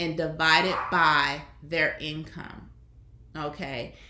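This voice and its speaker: A woman with a Southern US accent has a bright, sharp tone at a fairly low pitch, heard with audible room echo. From US Deep South. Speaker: online commentator, former teacher. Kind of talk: casual commentary monologue.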